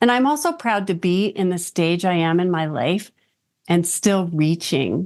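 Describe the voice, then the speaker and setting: A woman speaks at a fairly slow pace with very even loudness against a quiet background. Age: 60s. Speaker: business executive. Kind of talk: interview. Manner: animated.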